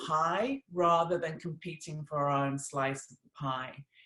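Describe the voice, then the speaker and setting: A woman talks at a very slow pace. Her pitch varies in an ordinary way. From England. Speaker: company executive. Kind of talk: presentation.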